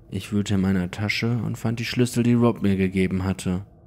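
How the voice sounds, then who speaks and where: In a dramatic tone, a man speaks with a dark, mellow voice, fairly low in pitch, and fairly even intonation. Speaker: horror story narrator. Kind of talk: ghost story telling, first-person creepypasta narration. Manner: hushed, suspenseful, slow-building; immersive, dramatic, tense.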